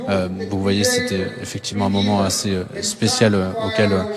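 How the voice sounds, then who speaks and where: Delivery is at a moderate pace with monotone, flat intonation. Music plays in the background, and the room echo is audible. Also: man. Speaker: TV correspondent on location. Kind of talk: live field report. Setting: convention hall with crowd. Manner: halting, many fillers; soft-spoken.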